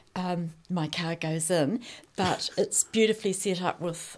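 In a New Zealand accent, a woman speaks at a very slow pace. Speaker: artist; guest. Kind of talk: casual chat. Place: studio. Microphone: studio mic.

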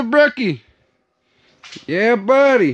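A man speaks at a slow pace in an extremely high pitch. His voice makes big pitch swings.

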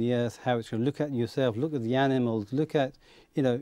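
A man's dark, mellow tone in a dry sound with no echo, against a quiet background. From Kent, England (born in Bangladesh); Kent, England. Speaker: aerospace engineer; talk show guest. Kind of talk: interview. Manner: hesitant. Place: studio. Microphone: lapel.

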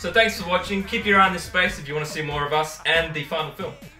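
A very fast pace with audible room echo and faint music in the background. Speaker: filmmaker. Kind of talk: casual talk to camera. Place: home room.

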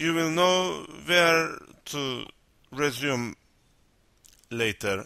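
A man with a Turkish accent, fairly high pitch, ordinary pitch variation and a bright, sharp tone. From North Cyprus. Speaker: language teacher. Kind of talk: educational lesson narration.

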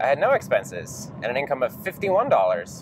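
The voice belongs to a man. Noticeable background noise can be heard throughout. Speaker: software developer vlogger. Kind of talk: casual vlog chat. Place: car. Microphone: lapel.

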